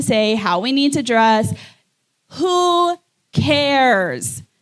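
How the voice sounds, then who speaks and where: A woman speaks loudly at a fairly high pitch. Her pitch swings very widely. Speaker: podcast co-host. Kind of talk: live podcast conversation.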